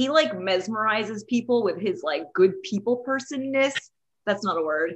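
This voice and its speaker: An American accent at a moderate pace, with an animated tone and very wide pitch swings. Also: woman, fairly high pitch for a woman. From Texas. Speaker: wedding photographer. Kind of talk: casual chat.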